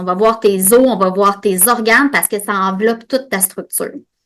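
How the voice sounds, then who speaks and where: A woman speaks with a Quebec accent and ordinary pitch variation. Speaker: podcast host and osteopath. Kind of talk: educational monologue. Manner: fast; animated.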